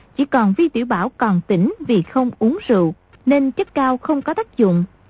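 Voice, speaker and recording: A woman's high voice swings very widely in pitch as she speaks at a fairly slow pace. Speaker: radio announcer. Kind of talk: radio announcement, recap intro and outro. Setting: radio broadcast.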